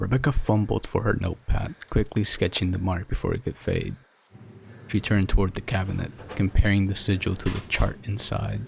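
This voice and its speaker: A man's fairly low voice with vocal fry. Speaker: storyteller, narrator. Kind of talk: horror story narration, ASMR-style.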